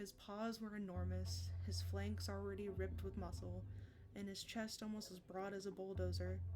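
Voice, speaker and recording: A soft-spoken woman at a moderate pace, with noticeable background noise. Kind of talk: soft-spoken ASMR book reading. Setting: close microphone, cozy stream.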